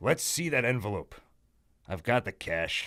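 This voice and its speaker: A man of medium pitch uses a put-on character voice at a moderate pace, in a very clean recording with a silent background. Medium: read story.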